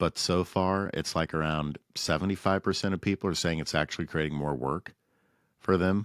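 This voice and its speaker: A man speaks in a very deep, low pitch with ordinary pitch variation and a moderate pace. The recording is very clean, the background silent. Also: dry, close sound with no echo. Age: 40s. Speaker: podcast host. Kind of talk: interview.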